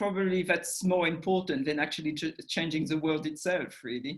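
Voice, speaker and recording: A woman's fairly low voice with a French accent and a bright, sharp tone. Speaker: documentary institute director. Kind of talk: interview. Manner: halting.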